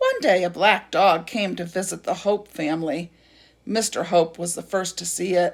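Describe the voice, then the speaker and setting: A woman puts on a raspy character voice at a medium pitch. She keeps a moderate pace. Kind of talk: read-aloud storytelling. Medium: read story.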